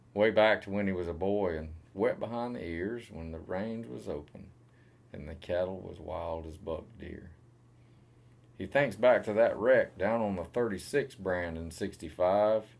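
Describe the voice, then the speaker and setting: At a fairly slow pace, a man talks with a Southern US accent and a very deep, low pitch. His pitch variation is ordinary, and his loudness swings widely. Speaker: cowboy poet. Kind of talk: poetry reading.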